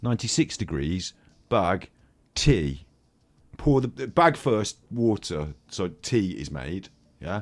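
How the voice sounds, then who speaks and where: The speech moves very slowly, broken by long, frequent pauses, with very wide pitch swings and vocal fry. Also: man, fairly low pitch for a man, big swings in loudness, very clean recording, silent background. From Britain. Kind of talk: casual chat. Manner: animated.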